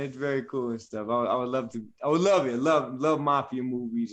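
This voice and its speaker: A man with an American accent at a medium pitch. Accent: New Jersey accent, Italian-sounding. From New Jersey, US. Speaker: actor. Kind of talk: casual chat. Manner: animated.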